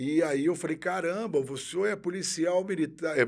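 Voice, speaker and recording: A man with an unremarkable speaking voice talks at a fairly slow pace. His intonation is lively. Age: 50s. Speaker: military police officer. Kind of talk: interview.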